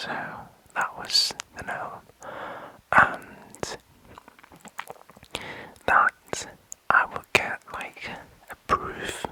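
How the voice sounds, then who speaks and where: Someone whispers at a very slow pace with long, frequent pauses and big swings in loudness, over noticeable background noise. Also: man. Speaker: ASMR creator. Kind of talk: ASMR sleep video. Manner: whispered.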